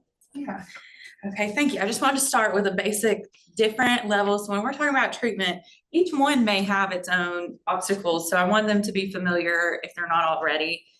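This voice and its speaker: Loud and fairly quick, a woman with a medium pitch speaks in a bright, sharp tone. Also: ordinary pitch variation. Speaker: panel moderator. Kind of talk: panel discussion. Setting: live panel with audience and Zoom.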